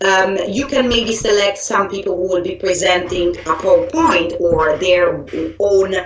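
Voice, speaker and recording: A fairly slow delivery with an Italian accent, amid noticeable background noise and audible room echo. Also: woman. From Italy. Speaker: software trainer. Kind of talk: online training presentation. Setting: live online event. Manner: hesitant with fillers and restarts.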